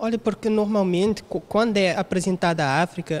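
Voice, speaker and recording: A man's high-pitched voice. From Cape Verde. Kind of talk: panel discussion. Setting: museum. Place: hall. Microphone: handheld.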